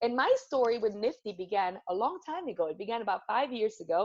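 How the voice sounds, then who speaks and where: Against a quiet background, a woman with a Spanish accent speaks fairly quickly in a high, animated voice with very wide pitch swings. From Venezuela, Caracas. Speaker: corporate storytelling speaker. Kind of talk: motivational talk. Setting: video call.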